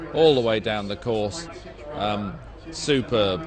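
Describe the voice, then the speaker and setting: Male speech with ordinary pitch variation amid noticeable background noise. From UK. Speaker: race commentator. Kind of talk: live commentary. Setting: livestream with chat room.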